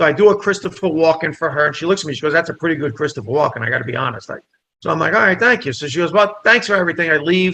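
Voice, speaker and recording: The speaker has a New Jersey accent and talks at a very fast pace. The tone is bright and sharp, with lively intonation. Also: man, fairly high pitch for a man. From New Jersey, Italian immigrant family. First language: Italian. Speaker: comedian and actor. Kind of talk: casual chat, storytelling. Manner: animated.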